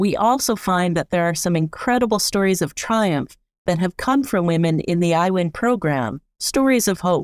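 A plain, everyday voice with lively intonation at a moderate pace, in a very clean recording with a silent background and a dry, close sound with no echo. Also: woman. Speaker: co-host, immigration sector professional. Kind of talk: scripted narration.

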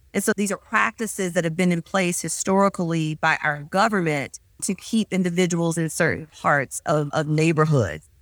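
In a normal speaking voice, a woman with an American accent speaks at a fairly low pitch and moderate pace, with ordinary pitch variation and hardly any pauses. Her loudness stays very even, the sound dry and close with no echo, on a very clean recording with a silent background. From US South, Mississippi. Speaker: physician. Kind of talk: interview.

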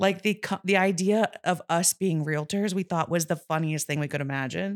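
An ordinary speaking voice with ordinary pitch variation comes through a very clean recording with a silent background and a dry, close sound with no echo. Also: woman. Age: 30s. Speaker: real estate agent. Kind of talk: casual interview.

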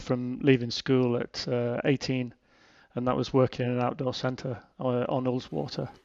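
In a northern English accent, a man speaks at medium pitch. His intonation is monotone and flat. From Cumbria, northern England. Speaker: mountain guide. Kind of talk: casual interview chat.

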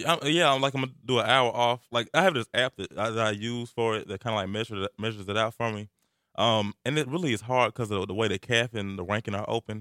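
In a very clean recording with a silent background and a dry, close sound with no echo, a man with a Southern US accent talks at a very fast pace, his medium-pitched voice bright and sharp, with ordinary pitch variation. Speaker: college radio host. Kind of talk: casual chat. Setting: studio.

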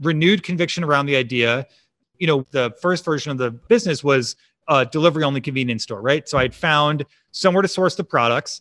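Recorded very cleanly against a silent background, with a dry, close sound and no echo, a man with an ordinary speaking voice and an American accent talks at a fairly quick pace and fairly high pitch, using ordinary pitch variation. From Chicago suburbs, US Midwest. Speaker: startup founder and CEO. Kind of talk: interview.

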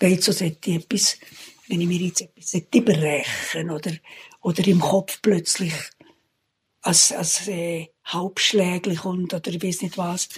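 A woman speaks at a very slow pace. Her voice is medium in pitch and somewhat breathy. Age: 80s+. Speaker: retired social worker. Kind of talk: casual interview. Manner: halting.

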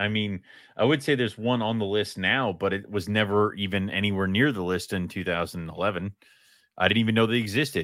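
This is an ordinary speaking voice at a fairly quick pace. Pitch variation is ordinary. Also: man, fairly low pitch for a man. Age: 30s. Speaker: co-host of a reptile hobby podcast. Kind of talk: casual chat.

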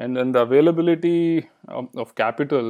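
With a Kannada accent, a man speaks at a moderate pace in a fairly high pitch, with ordinary pitch variation and a quiet background. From India, Bangalore. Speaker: filmmaker. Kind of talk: interview.

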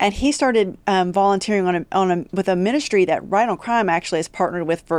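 In a very clean recording with a silent background, a woman speaks at a very fast pace with ordinary pitch variation. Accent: West Virginia. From West Virginia, Appalachia (Huntington). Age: 40s. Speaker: criminal justice policy expert, former prosecutor. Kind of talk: podcast interview.

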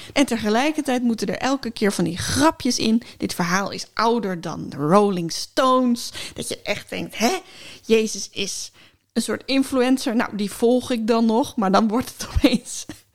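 A woman with an unremarkable speaking voice talks at a fairly high pitch, with lively intonation and big swings in loudness. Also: fairly slow pace. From Friesland, Netherlands. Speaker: podcast co-host and writer. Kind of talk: casual chat.

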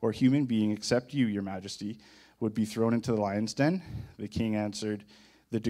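A reading voice that is unforced

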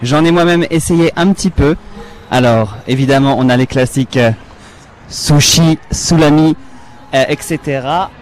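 Through noticeable background noise, a man speaks very slowly with long, frequent pauses, his fairly high pitch showing ordinary variation and his loudness very even. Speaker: field reporter. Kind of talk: live field reporting. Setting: outdoor festival.

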